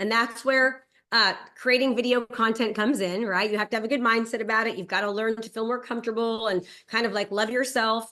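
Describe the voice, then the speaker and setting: The tone is energetic, bright and sharp, at a very fast pace. The background is quiet. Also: woman. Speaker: real estate and digital marketing coach. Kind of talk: webinar presentation. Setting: video call.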